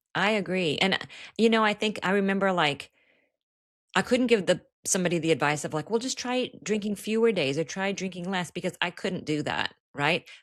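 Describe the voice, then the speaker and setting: Here a woman talks at a moderate pace in an ordinary speaking voice. Her pitch is medium with ordinary pitch variation, on a very clean recording with a silent background. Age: 60s. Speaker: author in recovery. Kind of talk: podcast interview. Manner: casual, conversational.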